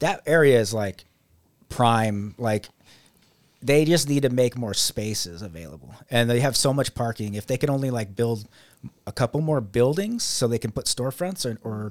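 A man with a plain, everyday voice, medium pitch, lively intonation and a moderate pace, in a dry, close sound with no echo. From Las Vegas, Nevada. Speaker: photographer. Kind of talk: interview.

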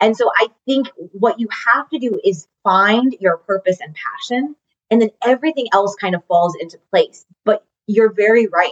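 A woman speaks at a moderate pace in a fairly high, animated voice with lively intonation, the sound dry and close with no echo. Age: 30s. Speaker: nutrition coach. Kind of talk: casual chat.

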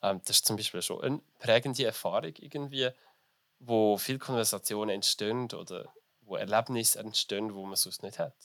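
A man with a normal speaking voice talks at a medium pitch and moderate pace with ordinary pitch variation and big swings in loudness, on a very clean, dry, close recording with no echo and a silent background. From Switzerland, small village. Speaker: business graduate and drag performer. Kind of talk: interview. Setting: festival.

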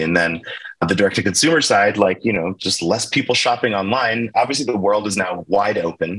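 Fairly quick speech with an American accent and ordinary pitch variation, over noticeable background noise. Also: man. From US, Baltimore, Maryland. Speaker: tech company founder. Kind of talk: interview.

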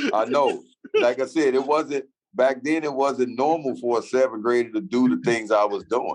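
In an American accent and an ordinary speaking voice, the speaker keeps very even loudness, fairly even intonation and a moderate pace. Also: man, medium pitch for a man. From Chicago, US. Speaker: former pro basketball player. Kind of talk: interview.

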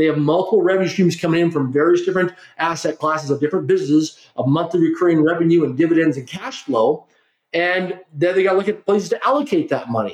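A man with a Canadian accent talks at a very fast pace. His high pitch shows ordinary variation. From Canada. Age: 50s. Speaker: corporate trainer and philanthropist. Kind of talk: interview.

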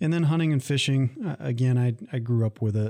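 On a very clean recording with a silent background, a man with an Upper Midwest accent talks at a fairly quick pace in a dark, mellow tone. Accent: Upper Midwest American. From Michigan, Lansing area. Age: 30s. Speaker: college veterans services director, army veteran. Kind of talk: casual interview.

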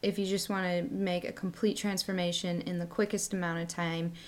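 A woman's voice at a medium pitch. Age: 30s. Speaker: podcast co-host. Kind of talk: casual chat. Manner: animated.

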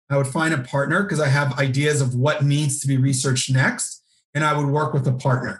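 A man speaks at a fairly quick pace in a somewhat breathy, fairly high voice, keeping his intonation fairly even and his loudness very even. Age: 40s. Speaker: nonprofit consultant and author. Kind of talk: interview.

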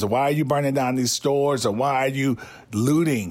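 With a very clean recording and silent background, a man speaks in an unremarkable speaking voice at a moderate pace and medium pitch. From US South. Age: 50s. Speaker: podcast host. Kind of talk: personal storytelling.

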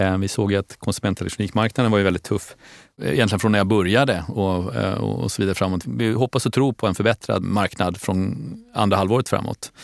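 A very fast male voice at fairly low pitch with vocal fry and ordinary pitch variation, dry and close with no echo, on a very clean recording over a silent background. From Stockholm, Sweden. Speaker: company CEO. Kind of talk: interview.

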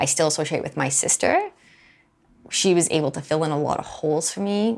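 The pace is very fast. The intonation is lively. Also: woman. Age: 30s. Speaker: podcast host sharing personal story. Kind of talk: personal testimony monologue.

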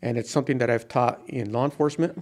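In a very clean recording with a silent background, a man with an American accent talks very fast with fairly even intonation. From New Mexico, US Southwest (Taos). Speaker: retired police officer and army flight medic. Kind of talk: casual interview. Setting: studio, sitting beside the host.

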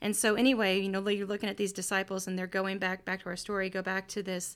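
A woman's medium-pitched voice with an American accent and monotone, flat intonation, on a very clean recording with a silent background. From Missouri, Kansas City. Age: 40s. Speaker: podcast host and pastor. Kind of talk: bible teaching; casual chat.

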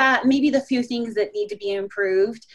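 Someone with an American accent speaks at a moderate pace with ordinary pitch variation. It is a plain, everyday voice. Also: woman. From Colorado. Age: 40s. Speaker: short-term rental host. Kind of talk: interview.

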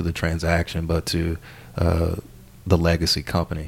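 The voice carries a Southern US accent. Its speed is moderate. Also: man. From US South, southern Arkansas. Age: 20s. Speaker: business consultant. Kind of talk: casual interview.

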